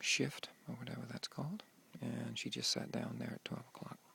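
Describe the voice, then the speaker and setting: A man is whispering. He keeps a moderate pace. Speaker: live streamer filming a memorial service. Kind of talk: live commentary. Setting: outdoors, in a treehouse overlooking a memorial.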